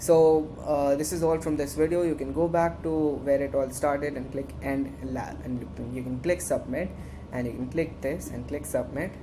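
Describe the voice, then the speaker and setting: With noticeable background noise and audible room echo, a woman speaks at a moderate pace. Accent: Indian. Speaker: student tech club instructor. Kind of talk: tutorial. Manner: halting; animated.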